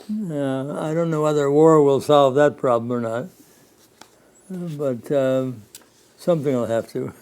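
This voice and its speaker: A man with an American accent and a fairly high pitch speaks at a fairly slow pace, with long, frequent pauses. Noticeable background noise is present. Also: ordinary pitch variation. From US Midwest. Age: 90s. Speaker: war veteran. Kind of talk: oral history interview. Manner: halting.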